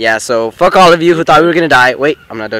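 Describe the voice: A man talks at a fast pace in a bright, sharp tone. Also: medium pitch for a man, ordinary pitch variation.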